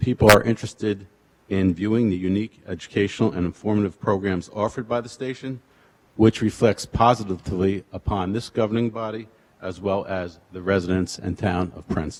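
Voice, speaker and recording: Talking at a fairly quick pace, a man with a fairly low pitch keeps his intonation fairly even, though his loudness swings widely. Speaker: public commenter at council meeting. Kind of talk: public comment reading prepared speech. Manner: monotone.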